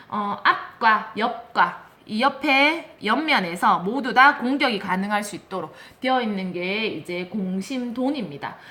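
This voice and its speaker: The voice moves at a very slow pace with lively intonation, with noticeable background noise and audible room echo. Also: woman, fairly high pitch for a woman. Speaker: elementary school teacher. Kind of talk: lecture.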